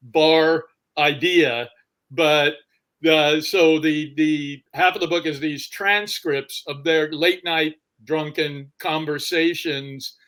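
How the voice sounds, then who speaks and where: A man with a fairly high pitch speaks at a very slow pace with fairly even intonation. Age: 60s. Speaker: novelist. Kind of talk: interview. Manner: halting.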